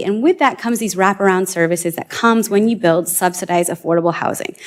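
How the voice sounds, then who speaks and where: Very fast and animated, a woman's voice rushes along. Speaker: rural housing advocate. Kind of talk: panel presentation. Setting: room with live audience.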